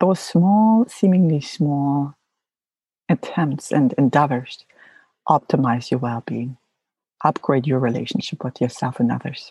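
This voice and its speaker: A dark, mellow, somewhat breathy voice at a fairly slow pace, with long, frequent pauses, a dry, close sound free of echo and a quiet background. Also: woman, very deep, low pitch for a woman. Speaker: mental wellness podcast host, psychologist. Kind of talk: solo podcast monologue. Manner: hesitant, frequent um fillers.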